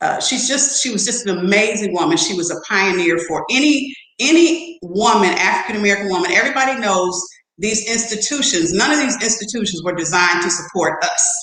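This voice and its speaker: With an animated tone, a woman talks at a fairly quick pace at a medium pitch with very wide pitch swings, and audible room echo surrounds her voice. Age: 60s. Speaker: theologian, academic. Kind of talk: casual chat.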